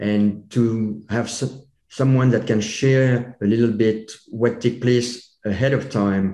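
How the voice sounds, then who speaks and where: With a French accent, a man speaks very slowly in a medium-pitched voice of dark, mellow tone, keeping his loudness very even and his intonation monotone and flat, with hardly any pauses. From France. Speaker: chiropractor and public speaker. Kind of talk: podcast interview. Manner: halting.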